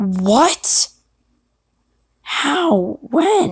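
A female-sounding, put-on character voice, high-pitched with very wide pitch swings

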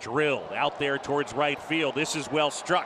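Over noticeable background noise, a man speaks in an animated tone, the sound dry with no echo. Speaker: play-by-play announcer. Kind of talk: live baseball commentary. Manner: animated, building excitement on home runs and extra-base hits, short punchy calls; laughs while calling the big fella's triple. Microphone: headset.

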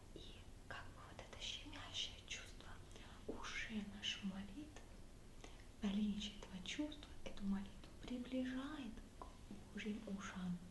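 A woman whispers at a fairly slow pace. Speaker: museum guide. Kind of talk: online guided tour talk about icons. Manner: soft quiet ASMR voice, close to mic. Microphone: webcam.

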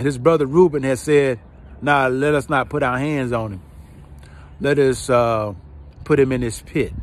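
A man with a Georgia accent talks at a moderate pace with ordinary pitch variation, and the sound is dry with no echo. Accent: Southern US, Georgia. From US South, rural south Georgia. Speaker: online preacher / inspirational video host; online preacher, inspirational video host. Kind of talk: personal testimony; sermon-style monologue. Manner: repetitive, emphatic preaching cadence. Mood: calm, reflective. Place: open country. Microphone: phone near.

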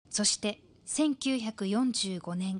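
The speaker is a woman with a fairly high pitch and a somewhat breathy voice. The sound is dry and close, with no echo. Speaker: news narrator. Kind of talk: TV news narration.

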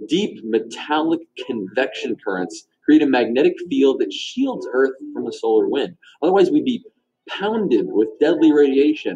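The pace is moderate as this man talks. Around him, the background stays quiet. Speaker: science show host. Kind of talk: educational explainer. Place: studio.

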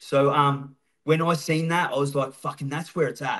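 Over a quiet background, a man with an Australian accent speaks at a moderate pace. His pitch is fairly high and his intonation fairly even. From Melbourne western suburbs, Australia. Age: 40s. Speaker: former prisoner and recovery speaker; podcast guest. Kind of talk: casual interview. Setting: studio. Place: home room. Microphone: video call.

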